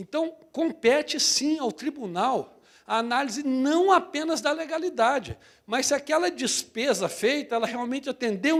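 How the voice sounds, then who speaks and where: The man's pitch varies in an ordinary way while his pace stays moderate. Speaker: public audit court president, lecturer. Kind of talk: lecture.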